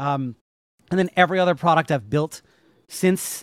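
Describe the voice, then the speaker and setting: At a moderate pace, a man talks with ordinary pitch variation, recorded very cleanly against a silent background with a dry, close sound and no echo. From US Northeast. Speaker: JavaScript educator. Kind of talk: casual interview. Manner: blunt, not very animated; hesitant with many fillers.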